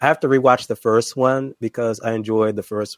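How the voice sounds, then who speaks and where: Medium-pitched male speech in an ordinary speaking voice, moderately paced, pitch varying ordinarily. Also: dry, close sound with no echo. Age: 20s. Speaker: YouTuber. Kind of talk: casual chat.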